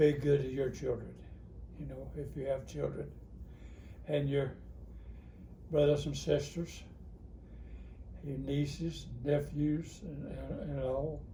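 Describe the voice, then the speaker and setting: A man speaks at a very slow pace with long, frequent pauses and big swings in loudness, and audible room echo surrounds his voice. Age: 80s+. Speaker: grandparent being interviewed. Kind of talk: family interview.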